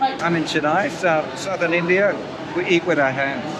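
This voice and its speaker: The speech shows ordinary pitch variation. Audible room echo and noticeable background noise sit around the voice. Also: man. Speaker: travel vlogger. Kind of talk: casual vlog narration.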